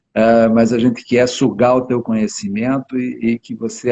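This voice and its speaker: At a moderate pace, a man talks at medium pitch. His intonation is monotone and flat. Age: 70s. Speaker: family lawyer hosting a health live stream. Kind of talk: casual chat.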